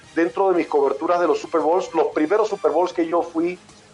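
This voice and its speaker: With music in the background, a man talks in a high voice. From Panama, living in Mexico. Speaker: sports broadcaster, voice of a sports TV network for NFL. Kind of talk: interview answer.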